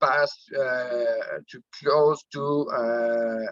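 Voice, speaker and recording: A man in a Quebec accent, medium pitch, very slow pace. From Quebec, Canada (Drummondville). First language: French. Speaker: network marketing director. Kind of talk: personal testimony on a team call. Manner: halting, many fillers.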